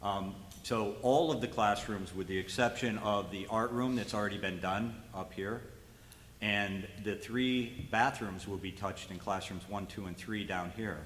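A man speaks at a fairly low pitch with fairly even intonation, and the room echo is audible. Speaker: school facilities presenter. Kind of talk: board meeting presentation. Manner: fast.

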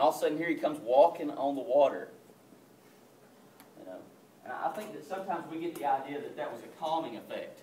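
At a fairly quick pace but with long, frequent pauses, a man speaks in a fairly high, slightly mellow voice with lively intonation and audible room echo.

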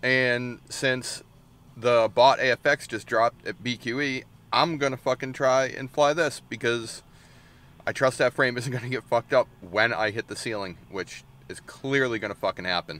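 This man's voice has a bright, sharp tone and ordinary pitch variation. The sound is dry, with no echo. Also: moderate pace. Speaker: drone hobbyist vlogger. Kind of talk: casual vlog chat. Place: car. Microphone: phone near.

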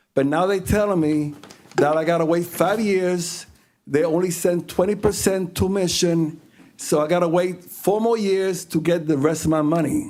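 Speaking at a moderate pace, a man with a high pitch keeps his intonation fairly even and his loudness very even. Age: 60s. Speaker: transit employee speaking at public comment. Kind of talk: public comment at board meeting.

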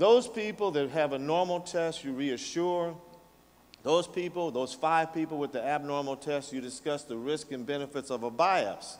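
The man speaks at a moderate pace. His pitch varies in an ordinary way. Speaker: presenter. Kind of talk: lecture. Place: hall. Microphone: podium.

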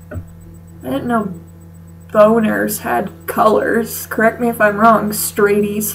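A woman at a very slow pace, with faint music in the background. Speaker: comedy vlogger. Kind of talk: comedic reading of fanfic with commentary. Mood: sarcastic, mock-disgusted. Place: home room. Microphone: webcam.

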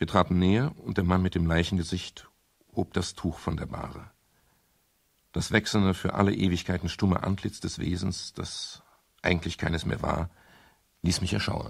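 A man uses a put-on character voice with a low pitch, vocal fry, and a slightly husky edge. He talks at a moderate pace with fairly even intonation.

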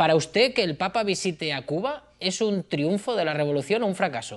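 This man speaks at a fairly quick pace with lively intonation and a high pitch. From Spain. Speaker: interviewer. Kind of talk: interview. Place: home room.

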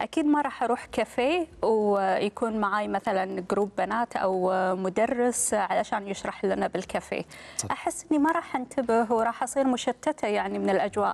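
A woman talks at a moderate pace with hardly any pauses. Her intonation is lively. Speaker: TV presenter. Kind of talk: talk show host chat. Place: studio. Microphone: lapel.

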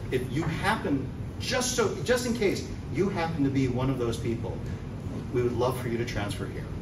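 A man talks at a moderate pace as noticeable background noise carries on. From New York City. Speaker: actor. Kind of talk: speech to an audience. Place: hall. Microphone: camera far.

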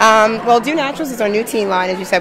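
A woman's voice, dry with no echo, with crowd noise in the background. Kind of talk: interview answer. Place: hall. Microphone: handheld.

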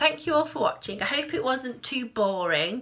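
Putting on a character voice, a woman speaks hoarsely at a moderate pace in a high voice with very wide pitch swings. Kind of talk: casual vlog chat. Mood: warm, slightly self-deprecating.

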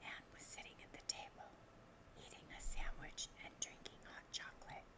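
Someone whispers at a moderate pace. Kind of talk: bedtime story reading, ASMR. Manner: whispered, soft-spoken.

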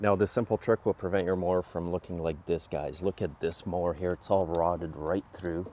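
A man talks at a moderate pace with a low pitch and a dark, mellow tone. His intonation stays fairly even.

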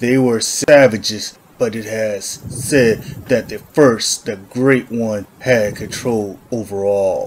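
Using a put-on character voice, a man speaks at a medium pitch. He goes at a very slow pace with hardly any pauses. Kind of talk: gritty western noir narration.

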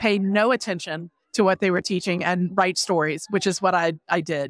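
With a plain, everyday voice, a woman talks at a fairly quick pace and fairly even intonation, the sound dry and close with no echo. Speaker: historical fiction author. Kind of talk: casual interview. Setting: book festival floor.

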